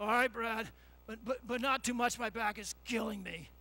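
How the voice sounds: The man keeps a moderate pace. His put-on character voice sits at an extremely high pitch.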